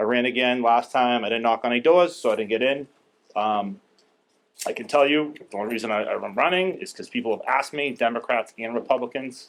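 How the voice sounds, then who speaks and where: A medium-pitched man with a Boston accent, a fairly quick pace and ordinary pitch variation. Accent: Boston-area. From Saugus, Massachusetts. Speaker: town meeting candidate. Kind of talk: candidate speech at public forum. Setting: public library forum. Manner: blunt.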